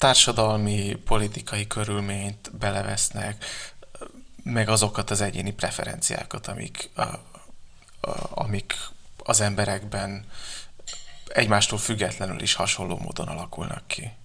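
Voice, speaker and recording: A man speaks fairly slowly at a fairly low pitch, with vocal fry and long, frequent pauses. His intonation is monotone and flat, and his tone is bright and sharp. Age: 20s. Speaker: novelist. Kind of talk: interview. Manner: halting, many fillers.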